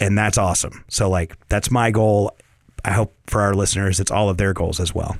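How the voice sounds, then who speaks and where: A man with an American accent and a fairly low pitch speaks at a moderate pace, his intonation monotone and flat and his loudness very even. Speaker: real estate agent and property manager. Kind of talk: informative conversational discussion.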